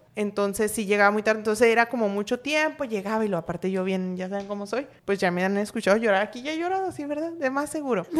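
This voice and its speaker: A woman with a fairly high voice speaks at a very fast pace. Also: lively intonation, hardly any pauses. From Sinaloa, Mexico. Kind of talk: casual chat.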